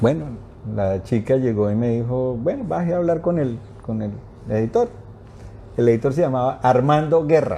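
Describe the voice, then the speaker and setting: A man speaks at a medium pitch with a dark, mellow tone and ordinary pitch variation. His moderate pace is broken by long, frequent pauses. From Colombia. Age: 60s. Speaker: journalist. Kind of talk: interview. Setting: live stream.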